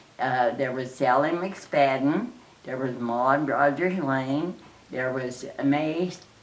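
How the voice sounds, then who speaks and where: Amid audible room echo, a woman with an American accent speaks at a very slow pace in a very deep, low pitch. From Oklahoma. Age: 80s+. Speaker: interviewee, relative of a famous entertainer. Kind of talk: interview reminiscence. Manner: halting, many fillers.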